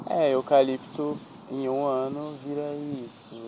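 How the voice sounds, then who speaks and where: A man's medium-pitched voice at a very slow pace. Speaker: podcast host. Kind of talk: casual chat. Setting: outdoors.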